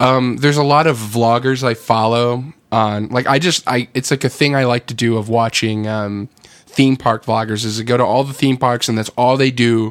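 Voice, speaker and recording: A man with a plain, everyday voice, medium pitch, fairly even intonation, a moderate pace and hardly any pauses. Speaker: band member and podcast co-host. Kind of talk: radio dj patter, mock-announcer banter.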